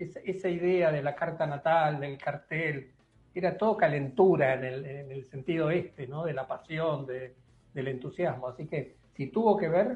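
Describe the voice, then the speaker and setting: A man's fairly high voice at a fairly slow pace, with ordinary pitch variation. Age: 60s. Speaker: school founder and teacher. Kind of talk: radio interview. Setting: video call.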